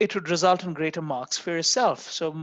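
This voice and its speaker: The speaker has a non-native accent. The background is quiet. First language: not English. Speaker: university lecturer. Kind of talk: lecture. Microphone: video call.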